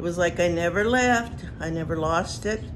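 A woman with a fairly low pitch and lively intonation, noticeable background noise behind her. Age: old. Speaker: Paiute elder, former boarding school student. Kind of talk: personal testimony. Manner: reflective, unhurried. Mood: calm, reflective. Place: home room. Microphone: phone near.

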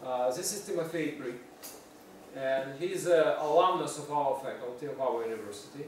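A man speaks at a moderate pace with a fairly high pitch and ordinary pitch variation. His tone is slightly mellow, and there is audible room echo.

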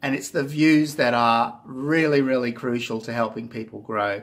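Speaking with an Australian accent, a man talks at a moderate pace with ordinary pitch variation. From Australia (Queensland). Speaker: YouTuber. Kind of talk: casual vlog monologue. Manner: hesitant, many fillers. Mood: earnest, encouraging. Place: home room. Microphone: phone near.

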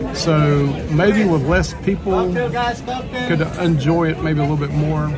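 Clear music can be heard behind the speech. The speaker is a man. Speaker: family vlogger. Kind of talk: casual vlog chat. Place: cafe. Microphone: phone near.

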